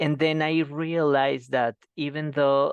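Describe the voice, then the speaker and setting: Speaking very slowly, a man with a Colombian accent uses a fairly high pitch. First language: Spanish. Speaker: professor. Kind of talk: seminar Q&A. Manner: halting.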